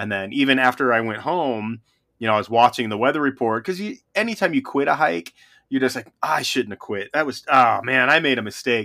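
The speaker has a Western US accent and a bright, sharp tone, talking at a fairly quick pace with lively intonation. The recording is very clean, with a silent background. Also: man, medium pitch for a man. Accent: General American (western US). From Reno, Nevada, US West. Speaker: podcast co-host, backpacker. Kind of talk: casual chat.

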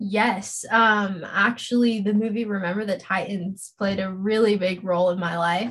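Somewhat breathy, a woman at medium pitch speaks with an American accent. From Los Angeles, California. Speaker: social media coordinator and political content creator. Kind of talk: casual interview chat.

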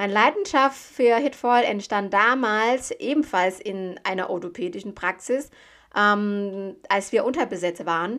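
Speech at a fairly slow pace with ordinary pitch variation comes through on a very clean recording with a silent background. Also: woman, medium pitch for a woman. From Thailand. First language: Thai (speaking German). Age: 30s. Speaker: medical assistant and recruitment founder. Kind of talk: podcast monologue.

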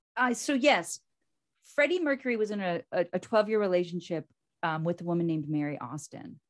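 In an American accent, a woman speaks with very wide pitch swings and a dry, close sound with no echo. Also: medium pitch for a woman, fairly quick pace. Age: 50s. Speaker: podcast co-host. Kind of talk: casual chat. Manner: animated.

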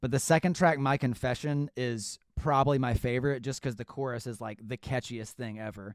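A man with an ordinary speaking voice talks at a medium pitch with ordinary pitch variation. The recording is very clean, with a silent background. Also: fairly quick pace, hardly any pauses. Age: 20s. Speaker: podcast host and musician. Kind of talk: casual chat.

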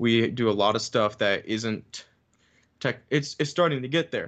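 A man's normal speaking voice with ordinary pitch variation against a quiet background. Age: 20s. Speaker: music educator and saxophonist. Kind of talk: casual chat.

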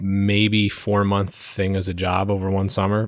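A plain, everyday voice with an American accent at a fairly slow pace. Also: man. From New York (Brooklyn and Long Island), then Connecticut from age nine. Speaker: audio-visual tech business owner. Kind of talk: casual interview.

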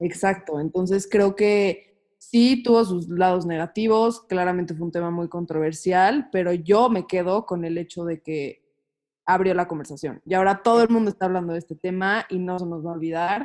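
At a moderate pace, a woman talks in a plain, everyday voice, her medium pitch moving with ordinary variation. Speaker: psychology student. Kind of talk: casual chat.

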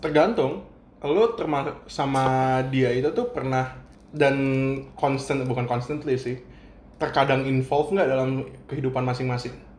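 A man talks at a fairly slow pace with a medium pitch and fairly even intonation, and the room echo is audible. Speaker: podcast co-host. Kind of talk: casual chat.

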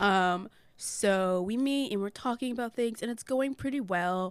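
An ordinary speaking voice with ordinary pitch variation at a fairly slow pace, on a very clean recording with a silent background. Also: woman. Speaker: podcast host. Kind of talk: casual chat. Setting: podcast studio.

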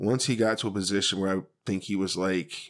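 The recording is very clean, with a silent background. A man talks in an unremarkable speaking voice at a fairly low pitch. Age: 40s. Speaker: podcast co-host. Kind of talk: casual chat.

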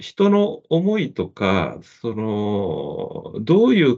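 Very wide pitch swings from a man at a medium pitch. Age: 50s. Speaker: medical magazine deputy editor. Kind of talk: casual interview.

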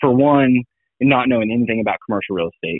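His pitch sits at a medium level for a man. It rises and falls in an ordinary way. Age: 20s. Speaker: commercial real estate broker. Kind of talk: interview.

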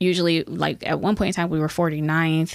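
A woman's normal speaking voice with an American accent, fairly low in pitch, at a moderate pace and with fairly even intonation, in a very clean recording with a silent background. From Youngstown, Ohio. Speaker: state legislator. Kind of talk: interview.

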